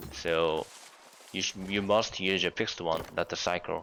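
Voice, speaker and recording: This man's voice is very deep and low. He speaks at a fairly slow pace. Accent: Korean. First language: Korean. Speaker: gaming youtuber. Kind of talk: tutorial. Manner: halting.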